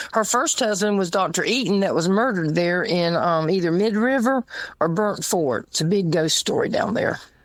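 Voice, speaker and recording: A woman's medium-pitched voice with a Southern US accent, at a moderate pace, with ordinary pitch variation and very even loudness. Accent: Southern US (Georgia). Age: 70s. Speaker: guest. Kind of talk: casual chat.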